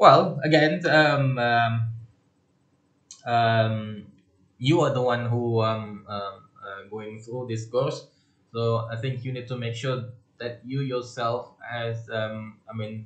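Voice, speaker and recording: Audible room echo surrounds a man of medium pitch whose loudness swings widely. He goes at a very slow pace with long, frequent pauses. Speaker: lecturer. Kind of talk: lecture. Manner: halting, many fillers.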